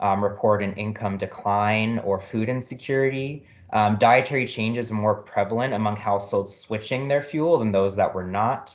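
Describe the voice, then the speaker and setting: The man's voice sits fairly low. He talks with fairly even intonation and hardly any pauses. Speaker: researcher. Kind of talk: presentation. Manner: fast.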